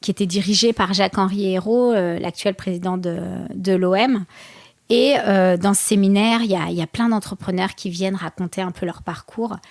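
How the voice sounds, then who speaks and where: Against a silent background on a very clean recording, a woman talks at a moderate pace and medium pitch with fairly even intonation. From France, Seine-Saint-Denis. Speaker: boxer and entrepreneur. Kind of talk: interview. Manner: halting.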